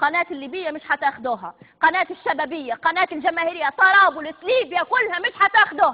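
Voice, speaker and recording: A woman with a Libyan accent, very wide pitch swings and a moderate pace. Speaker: TV presenter. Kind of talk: live TV broadcast. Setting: studio. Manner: hysterical, threatening.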